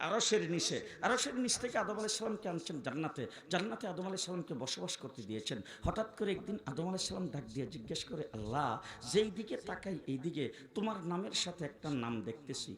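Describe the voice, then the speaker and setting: An animated tone with very wide pitch swings comes through noticeable background noise and audible room echo. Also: man, high pitch for a man. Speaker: Islamic preacher. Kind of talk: sermon. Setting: stage with audience.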